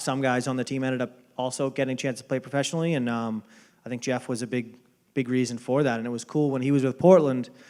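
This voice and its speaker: The speaker has a Boston accent and fairly even intonation. The pace is fairly quick. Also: man. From Boston area, US. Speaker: baseball front office executive. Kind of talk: interview. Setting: dinner event. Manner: hesitant, many fillers.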